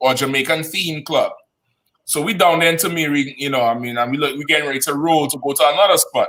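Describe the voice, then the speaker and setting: Speaking at a very fast pace, a man with a Trinidadian accent has a bright, sharp tone. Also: fairly high pitch for a man, fairly even intonation. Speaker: podcast co-host. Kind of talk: casual chat.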